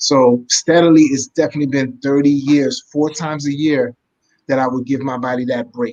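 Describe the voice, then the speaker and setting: At a moderate pace, a man with a plain, everyday voice speaks at a fairly high pitch and with fairly even intonation. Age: 50s. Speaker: martial arts instructor and cleanse creator. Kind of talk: interview.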